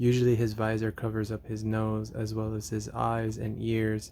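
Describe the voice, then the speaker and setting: A soft-spoken man with a dark, mellow tone, fairly low pitch and monotone, flat intonation. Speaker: artist drawing on camera. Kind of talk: drawing tutorial commentary. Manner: hesitant, many fillers.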